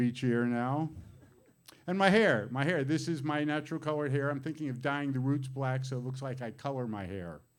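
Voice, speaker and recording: Fairly quick in pace, a man with a plain, everyday voice talks at a fairly high pitch with ordinary pitch variation. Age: 60s. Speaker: comedian. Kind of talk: stand-up.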